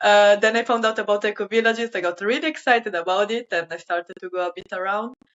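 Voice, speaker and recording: This woman has an Italian accent and a medium pitch. She talks at a fairly quick pace with fairly even intonation. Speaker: sustainability volunteer. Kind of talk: interview. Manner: hesitant, many fillers.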